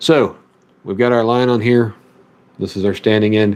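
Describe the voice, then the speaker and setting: The speaker talks with a Southern US accent. The pace is moderate. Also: man. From US South, Memphis, Tennessee area. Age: 30s. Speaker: fishing streamer. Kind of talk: tutorial. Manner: casual.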